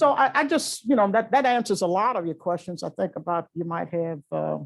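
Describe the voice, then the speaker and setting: A woman with an American accent, fairly quick delivery, very wide pitch swings and vocal fry, on a very clean recording with a silent background. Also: medium pitch for a woman. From US South, Louisiana. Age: 70s. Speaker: retired chief justice. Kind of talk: public talk to law students. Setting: lecture hall with audience. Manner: halting, with frequent fillers.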